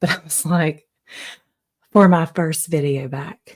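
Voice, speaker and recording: A woman whispers at a very slow pace. Her voice is somewhat breathy. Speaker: podcaster. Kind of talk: casual monologue. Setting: home, early morning. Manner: whispering; animated.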